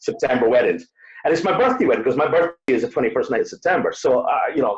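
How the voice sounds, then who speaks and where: At a very fast pace, a man speaks with very even loudness. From Scotland. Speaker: wedding DJ. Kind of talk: interview conversation. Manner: hesitant, many fillers.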